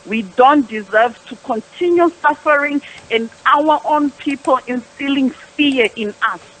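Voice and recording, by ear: Speaking at a fairly slow pace, a woman has a high pitch, a fairly bright tone and ordinary pitch variation.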